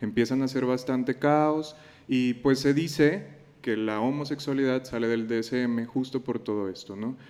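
A man with a plain, everyday voice at a fairly slow pace. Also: medium pitch for a man, fairly even intonation. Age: 20s. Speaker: psychologist and teacher. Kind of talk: casual chat.

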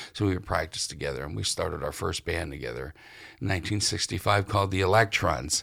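A man's very deep, low voice with an American accent, a bright, sharp tone, vocal fry, lively intonation and a very fast pace, in a very clean recording with a silent background. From western Pennsylvania, near Ohio border. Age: 60s. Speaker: musician and author. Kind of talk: interview. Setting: public library.

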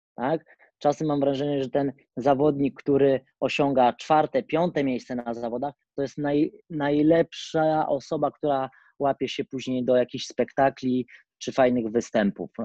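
With a dark, mellow tone, a man speaks at a fairly slow pace in a fairly high pitch and fairly even intonation. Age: 30s. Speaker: acrobat and acrobatics coach. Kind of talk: interview.

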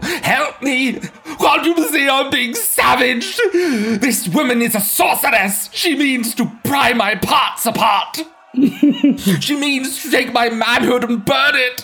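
In a put-on character voice pitched extremely high for a man, a man speaks in a raised, projected voice at a fairly slow pace with hardly any pauses and ordinary pitch variation, music playing in the background. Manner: blustering, then pleading in terror.

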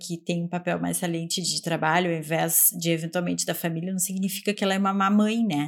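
Speaking fairly quickly in a normal speaking voice, a woman keeps a medium pitch and fairly even intonation. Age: 30s. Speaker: podcast co-host, researcher. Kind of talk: casual academic discussion.

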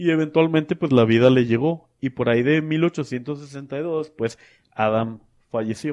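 In an ordinary speaking voice, a man talks at a fairly slow pace with a fairly high pitch and ordinary pitch variation. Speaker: podcast co-host. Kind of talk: storytelling.

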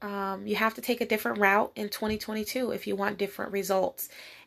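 The pace is fairly quick in a very clean recording with a silent background. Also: woman. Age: 30s. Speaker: podcast host, motivational speaker. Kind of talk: solo motivational talk.

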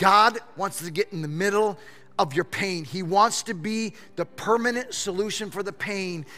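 In an American accent, a man speaks at a fairly slow pace with a raised, projected voice, a high pitch, and a bright, sharp tone. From Michigan. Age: 50s. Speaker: pastor. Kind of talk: sermon. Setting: church. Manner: halting.

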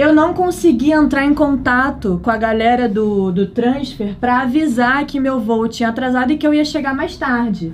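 A woman in a Rio de Janeiro accent, high-pitched with ordinary pitch variation, at a moderate pace with hardly any pauses. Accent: Rio de Janeiro (carioca). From Brazil, Rio de Janeiro. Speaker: travel content creator. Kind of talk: casual chat.

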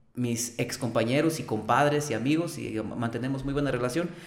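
A man's medium-pitched voice at a moderate pace, with audible room echo. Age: 30s. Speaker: singer. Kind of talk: casual chat.

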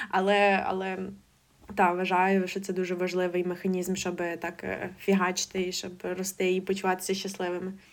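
The voice is a flat monotone at a moderate pace. The recording is very clean, with a silent background. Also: woman, medium pitch for a woman. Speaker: ophthalmology intern and board game author. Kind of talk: casual interview.

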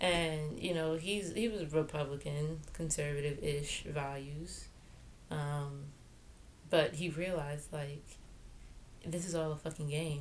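A woman with an American accent and a very deep, low pitch, fairly even intonation, a fairly slow pace with long, frequent pauses, and audible room echo. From New York, Jamaican heritage. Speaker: podcast co-host. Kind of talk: casual political chat.

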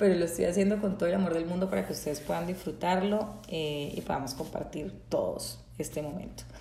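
A woman sounds animated, her intonation lively, with audible room echo around her voice. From Colombia, Bucaramanga, Santander. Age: 30s. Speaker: podcast host, psychologist. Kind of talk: casual faith-based monologue. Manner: spontaneous, animated.

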